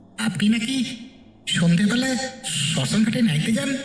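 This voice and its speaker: A man's put-on character voice, high in pitch and fairly slow, with a slight echo. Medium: read story.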